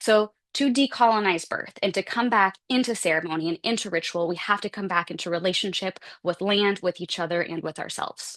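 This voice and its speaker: A woman's medium-pitched voice at a fairly quick pace, with ordinary pitch variation, a quiet background and a dry, close sound with no echo. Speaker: symposium presenter. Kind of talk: conference talk. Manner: fast; casual, animated.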